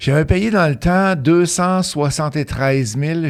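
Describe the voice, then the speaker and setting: A man speaks at a moderate pace with a slight Quebec accent. His pitch is fairly high, with ordinary pitch variation. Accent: slight Beauce Quebec French. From Beauce, Quebec. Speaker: real estate investor and coach. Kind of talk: interview, casual conversation.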